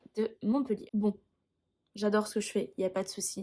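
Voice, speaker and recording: A woman speaks in a medium pitch, keeping a moderate pace. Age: 20s. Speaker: music teacher. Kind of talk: personal vlog explanation.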